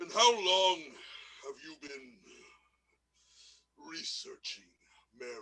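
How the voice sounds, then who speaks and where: In a put-on character voice, a man speaks at a high pitch with a menacing tone, moving at a fairly slow pace broken by long, frequent pauses. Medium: stage play. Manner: menacing, mocking.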